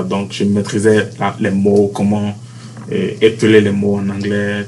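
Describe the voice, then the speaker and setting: A man speaks at a very slow pace with a fairly low pitch and fairly even intonation, amid audible room echo and noticeable background noise. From Benin, Cotonou. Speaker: university student, basketball player. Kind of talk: interview. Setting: university campus.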